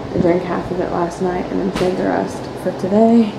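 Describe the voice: Vocal fry runs through fairly slow speech, with clear background noise behind it. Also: woman.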